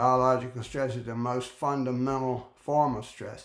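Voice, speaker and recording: A fairly slow pace, with audible room echo. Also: man. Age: 80s+. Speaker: retired professor and author. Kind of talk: direct-to-camera talk. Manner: halting, many fillers and restarts; emphatic.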